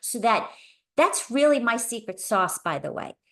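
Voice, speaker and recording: Against a quiet background, a woman with a normal speaking voice talks at a fairly slow pace with lively intonation. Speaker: podcast host and meetup co-host. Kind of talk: tutorial presentation. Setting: video call.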